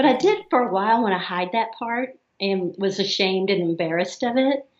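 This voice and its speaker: A woman with a slight Southern US accent. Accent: slight Southern drawl. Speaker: therapist. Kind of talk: interview.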